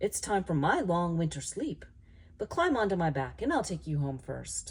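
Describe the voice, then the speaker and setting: In a put-on character voice, a female-sounding speaker talks at a middle pitch and a moderate pace. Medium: read story. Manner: slow, gentle.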